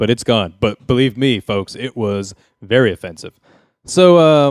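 In a normal speaking voice, a man at a medium pitch talks at a fairly slow pace, the sound dry and close with no echo. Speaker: podcast host. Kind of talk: comedic casual chat.

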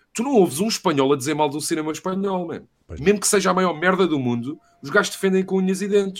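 Lively intonation carries a plain, everyday voice moving at a fairly quick pace. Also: man. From Portugal. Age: 30s. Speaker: university professor and film buff. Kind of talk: casual chat.

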